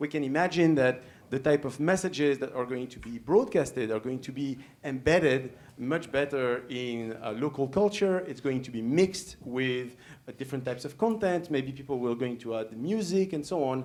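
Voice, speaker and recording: With a French accent, a man speaks at a moderate pace and uses lively intonation. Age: young. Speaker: professor. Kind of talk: lecture. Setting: stage with audience. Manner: halting, many fillers.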